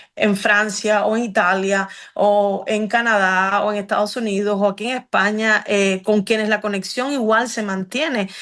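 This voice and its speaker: At a fairly slow pace and with hardly any pauses, a woman with a Cuban accent speaks at medium pitch in a monotone, flat intonation. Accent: Cuban accent, unchanged. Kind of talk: interview conversation. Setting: radio program. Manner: hesitant with many fillers.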